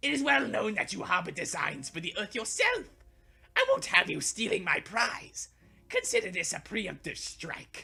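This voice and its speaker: Someone puts on a character voice. It sits fairly high in pitch. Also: moderate pace. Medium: read story. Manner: pompous.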